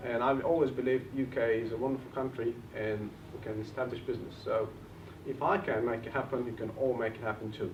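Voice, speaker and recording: Speaking very fast in a Bulgarian accent, a man with a medium pitch keeps his intonation fairly even. Noticeable background noise and audible room echo fill the recording. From Bulgaria, village. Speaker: property investor and trainer. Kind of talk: seminar talk.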